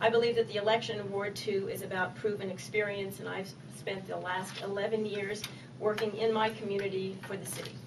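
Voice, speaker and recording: A woman's medium-pitched voice in an American accent, fairly even in intonation with big swings in loudness, over noticeable background noise and audible room echo. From Maryland, Annapolis. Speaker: political candidate. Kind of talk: campaign speech at candidate forum. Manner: fast.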